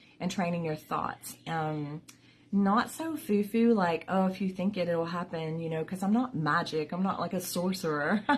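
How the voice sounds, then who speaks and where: Her voice somewhat breathy and fairly low, a woman talks at a moderate pace with ordinary pitch variation. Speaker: vlogger with chronic illness. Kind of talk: casual vlog talk. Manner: halting, many fillers.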